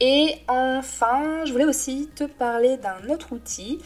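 A woman talks over noticeable background noise. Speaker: graphic designer. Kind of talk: audio newsletter monologue. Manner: hesitant, many fillers.

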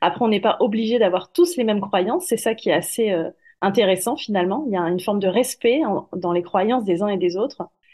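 A woman with a normal speaking voice talks at a fairly quick pace. Her pitch is medium and her intonation is lively. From southern France. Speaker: medium and corporate finance manager. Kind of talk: interview.

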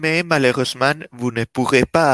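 A man's medium-pitched voice with a slight Spanish accent and ordinary pitch variation, dry and close with no echo, on a very clean recording with a silent background. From Spain. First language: Spanish (speaking French). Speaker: developer relations team manager. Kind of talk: casual chat.

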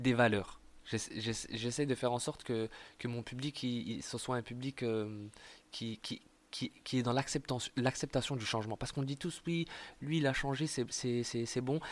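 On a very clean recording with a silent background, a man speaks at a moderate pace. His voice sits at medium pitch with ordinary pitch variation. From eastern France, Montbéliard. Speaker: stand-up comedian. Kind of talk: casual interview. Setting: in Marseille. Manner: halting, many repetitions.

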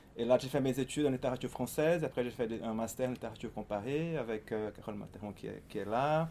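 A man talks at a very fast pace in a Portuguese accent. His medium-pitched voice has a dark, mellow tone and ordinary pitch variation. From Brazil, Fortaleza (northeast). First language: Portuguese (speaking French). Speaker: writer and literary researcher. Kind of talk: book talk interview. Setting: event with live audience. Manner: halting.

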